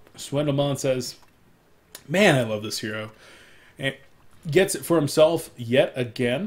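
A man's fairly high, somewhat breathy voice, animated, with lively intonation, big swings in loudness and long, frequent pauses. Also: fairly slow pace. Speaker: esports shoutcaster. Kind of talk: live commentary.

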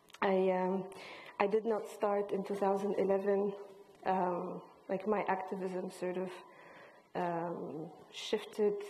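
A woman speaks at a very slow pace in a monotone, flat intonation, with long, frequent pauses and light background noise. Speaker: visual artist and filmmaker; panelist. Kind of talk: panel discussion. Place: hall.

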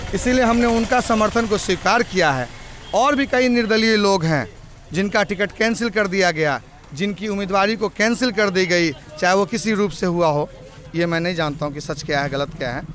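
At a moderate pace, a man talks over light background noise in a dry sound with no echo. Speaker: election candidate. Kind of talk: interview answer. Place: street. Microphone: handheld.

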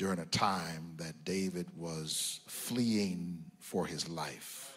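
A man talks at a very slow pace in a very deep, low pitch. His pitch variation is ordinary. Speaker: preacher. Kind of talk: sermon. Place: church. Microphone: handheld.

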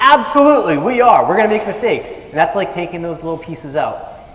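A man speaks at a very fast pace with very wide pitch swings. Room echo is audible. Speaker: motivational speaker. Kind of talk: stage presentation. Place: stage.

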